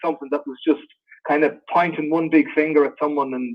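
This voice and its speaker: A man with an Irish accent, fairly high in pitch, at a fairly quick pace. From Ireland. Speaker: actor. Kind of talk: interview Q&A.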